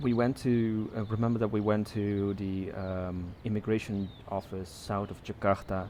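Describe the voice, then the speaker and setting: A man in a Dutch accent, fairly low in pitch, dark and mellow in tone, monotone and flat, at a moderate pace with hardly any pauses. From Netherlands. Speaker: podcast co-host. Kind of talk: casual chat.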